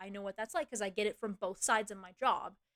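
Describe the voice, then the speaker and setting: A woman's voice comes across animated, with a bright, sharp tone. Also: dry, close sound with no echo. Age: 20s. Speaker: streamer. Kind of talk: casual chat.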